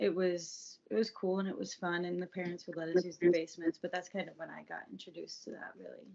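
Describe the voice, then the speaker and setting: A woman with an American accent talks at a very fast pace with fairly even intonation. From US South, Atlanta suburbs (Georgia). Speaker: podcast guest sharing recovery story. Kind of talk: casual interview, personal testimony.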